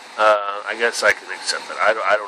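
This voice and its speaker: Noticeable background noise sits under the recording. The man's voice is medium in pitch. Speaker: vlogger. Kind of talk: casual monologue. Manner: halting.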